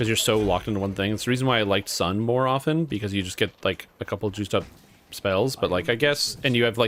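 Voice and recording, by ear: A natural voice reads aloud, its pitch varying in an ordinary way.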